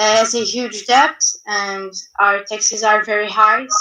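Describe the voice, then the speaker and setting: Speaking fairly slowly with a non-native accent, a woman uses fairly even intonation. Her pitch is fairly high and her tone is bright and sharp. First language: not English. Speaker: youth panelist. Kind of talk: panel discussion. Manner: halting.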